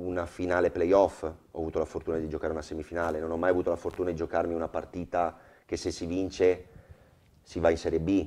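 A man with a Venetian accent speaks at a fairly quick pace in a very deep, low voice. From Veneto, Motta di Livenza; Veneto. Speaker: football goalkeeper; guest. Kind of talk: TV talk show interview. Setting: TV studio with audience. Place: studio. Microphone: lapel.

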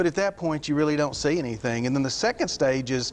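A man speaks at moderate speed with ordinary pitch movement, light noise sitting in the background. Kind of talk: interview answer. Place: studio. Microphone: lapel.

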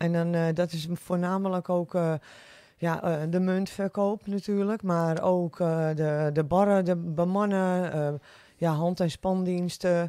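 Very slowly, a woman speaks in a fairly low pitch with a dark, mellow tone and monotone, flat intonation, the sound dry with no echo. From West Friesland, Netherlands (Oude Niedorp); West Friesland. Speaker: restaurant owner; podcast guest. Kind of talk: casual interview. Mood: cheerful, smiling. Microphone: studio mic.

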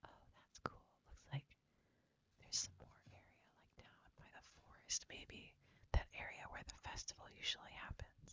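A soft-spoken woman whispers at a moderate pace, with big swings in loudness. The sound is dry with no echo, over light background noise. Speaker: gameplay streamer. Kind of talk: casual game commentary. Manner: soft ASMR whisper close to mic.

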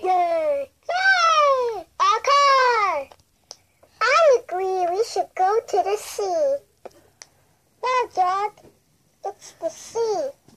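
Putting on a character voice at an extremely high pitch, a woman talks at a very slow pace with long, frequent pauses. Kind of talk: toy story video narration. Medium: role play. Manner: excited.

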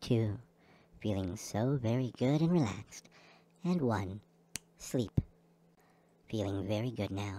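Long pauses come often in this fairly slow delivery. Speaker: hypnotist. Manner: slow, soothing, rhythmic pacing timed to breathing; gentle, reassuring, repetitive incantatory phrasing.

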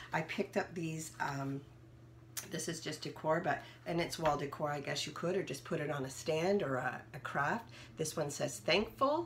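With light background noise, a woman whose pitch is very deep and low talks at a moderate pace, sounding somewhat breathy, with ordinary pitch variation. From Ontario, Canada. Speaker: haul vlogger. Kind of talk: product haul show-and-tell. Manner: casual, with frequent fillers. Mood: cheerful, upbeat. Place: home room. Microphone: phone near.

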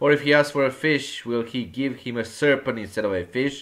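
A man talks in an unremarkable speaking voice at a fairly high pitch. He keeps a moderate pace. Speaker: church elder preacher. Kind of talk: sermon. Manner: formal, exhortative, addressing the congregation as brethren.

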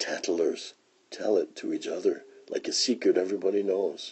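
This is a man speaking. His pace is moderate. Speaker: read-aloud storyteller. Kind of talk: poem reading aloud, gentle and lyrical, to children. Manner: expressive, measured.

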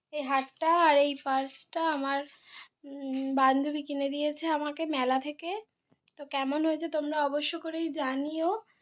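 This woman's voice is quiet and high-pitched. Her intonation is monotone and flat. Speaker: vlogger. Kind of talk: casual vlog narration. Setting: outdoors at a fair.

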